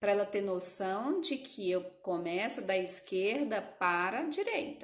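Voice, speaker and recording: With lively intonation, a woman speaks through audible room echo. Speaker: educational psychologist. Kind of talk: live-stream lecture.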